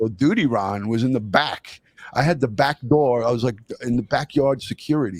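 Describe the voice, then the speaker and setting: Speaking with a New York accent, a man keeps a moderate pace and a medium pitch with ordinary pitch variation. The sound is dry and close, without echo. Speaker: retired detective, true crime YouTuber. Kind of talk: live interview. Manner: halting.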